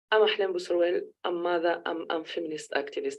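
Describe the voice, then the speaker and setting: With a French accent, a woman talks. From Tunisia. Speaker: feminist activist. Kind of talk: panel talk. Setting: conference panel. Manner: halting, self-correcting.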